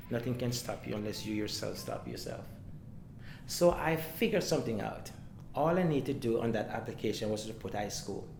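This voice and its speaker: Fairly quick speech from a man with a Jamaican accent, medium pitch, ordinary pitch variation, and audible room echo. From Jamaica, Saint Mary. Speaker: community member telling life story. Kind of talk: interview testimony. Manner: fast.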